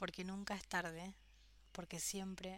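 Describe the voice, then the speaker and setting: A woman speaks at a fairly slow pace in a fairly low voice. Her intonation is monotone and flat. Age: 30s. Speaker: podcast host. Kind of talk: personal monologue. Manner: hesitant.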